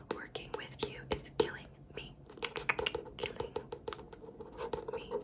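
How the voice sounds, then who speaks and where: There is noticeable background noise in this clip. Through it, a woman whispers. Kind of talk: ASMR book triggers, casual talk to camera. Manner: whispered.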